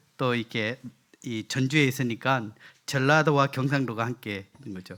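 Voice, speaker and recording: A man with a Gyeongsang accent, medium pitch, ordinary pitch variation and a bright, sharp tone. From South Korea, Gyeongsang (Daegu area). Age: 50s. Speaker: guest preacher. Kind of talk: sermon. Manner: halting, many fillers.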